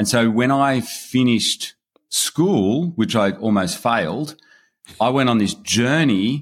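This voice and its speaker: A man with an Australian accent speaks at a medium pitch with ordinary pitch variation. The recording is very clean, with a silent background. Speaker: online business investor. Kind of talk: interview.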